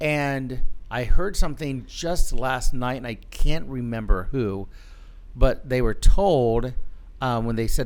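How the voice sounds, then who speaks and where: A man talks at a fairly slow pace with a medium pitch and ordinary pitch variation. There's audible echo from the room. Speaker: pastor. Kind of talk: casual chat.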